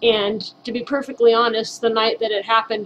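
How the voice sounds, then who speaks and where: With an American accent, a woman speaks in an ordinary speaking voice at a fairly high pitch. Her intonation is fairly even and her pace moderate. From Southern California. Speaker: author. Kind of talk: personal testimony to camera.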